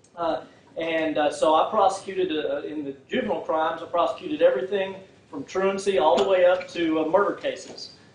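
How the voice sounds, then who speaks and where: A man talks at a fairly quick pace in a high pitch with ordinary pitch variation, and there is noticeable background noise. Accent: Texan. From Texas, Fort Worth. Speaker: prosecutor and political candidate. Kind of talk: campaign speech. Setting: public forum without microphone. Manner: halting, many fillers.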